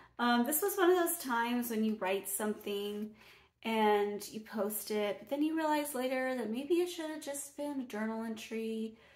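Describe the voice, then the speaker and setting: A woman's voice rises and falls sharply in loudness. Room echo is clearly audible. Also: moderate pace, quiet background. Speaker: poet. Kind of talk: casual talk to camera. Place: home room. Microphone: phone near.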